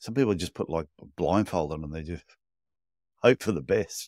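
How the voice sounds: A man's low-pitched voice, dry and close with no echo, in a very clean recording with a silent background.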